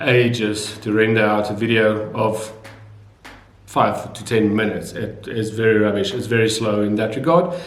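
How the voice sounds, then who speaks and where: In a South African accent, a man talks at a fairly slow pace. The room echo is audible. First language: Afrikaans. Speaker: video blogger. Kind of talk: casual vlog talk. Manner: hesitant, many fillers.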